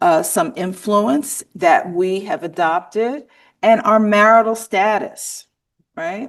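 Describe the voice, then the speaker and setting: Speaking with an American accent, a woman uses a medium pitch. Her pace is very slow, and the background is quiet. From US South, Mississippi. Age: 60s. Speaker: workshop trainer. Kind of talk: conference workshop presentation. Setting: conference room with live and online audience.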